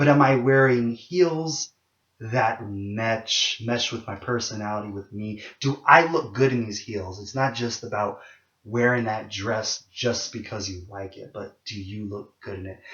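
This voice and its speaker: In a plain, everyday voice, a man speaks at a fairly slow pace and medium pitch, with ordinary pitch variation and big swings in loudness. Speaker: video blogger. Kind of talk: casual monologue vlog.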